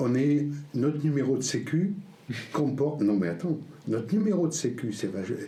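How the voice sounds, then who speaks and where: This man's fairly high voice swings very widely in pitch, broken by long, frequent pauses, with audible room echo and noticeable background noise. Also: moderate pace. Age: 60s. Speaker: homesteader. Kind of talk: casual chat.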